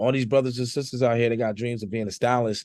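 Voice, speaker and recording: This man talks at a very fast pace with an American accent. His pitch sits at a medium level, and the sound is dry and close with no echo. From New Jersey. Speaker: hip hop artist. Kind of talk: casual interview chat. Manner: animated.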